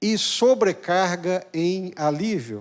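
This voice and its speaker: Lively in intonation, a man speaks at a high pitch in a very clean recording with a silent background. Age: 60s. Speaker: pastor. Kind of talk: sermon.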